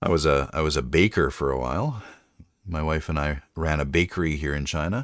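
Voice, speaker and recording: A man with a very deep, low pitch and vocal fry, talking at a fairly quick pace with ordinary pitch variation, on a very clean recording with a silent background. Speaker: streamer and writer. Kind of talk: casual chat. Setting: live stream.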